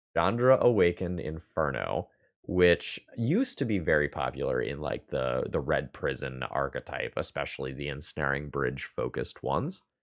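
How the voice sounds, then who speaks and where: Mumbling at a moderate pace with hardly any pauses, a man speaks over a quiet background. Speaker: Magic: the Gathering streamer. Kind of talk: gameplay commentary. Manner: mumbling a little.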